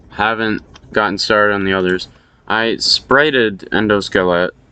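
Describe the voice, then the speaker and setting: In a fairly low voice with a bright, sharp tone, a man mumbles. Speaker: Minecraft map builder. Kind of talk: casual progress update narration. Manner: mumbling, hard to hear.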